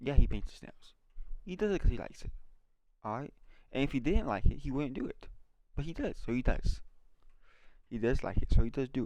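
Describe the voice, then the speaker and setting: With long, frequent pauses and big swings in loudness, a man speaks at medium pitch in a dark, mellow tone, with lively intonation and vocal fry. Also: fairly quick pace. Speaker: video diarist. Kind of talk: casual monologue. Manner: animated; occasional stutter.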